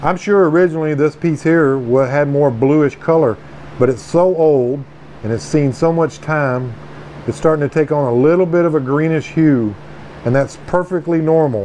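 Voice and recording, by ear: A man speaks at a fairly high pitch with a dark, mellow tone and ordinary pitch variation. He takes few pauses, and there is faint background noise. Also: moderate pace.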